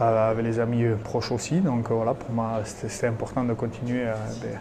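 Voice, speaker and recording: Through noticeable background noise and audible room echo, a man with a Basque accent speaks at a fairly quick pace, with medium pitch and fairly even intonation. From French Basque Country, Hendaye. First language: Basque (speaking French). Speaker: retired rugby player. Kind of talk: interview. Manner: hesitant, many fillers.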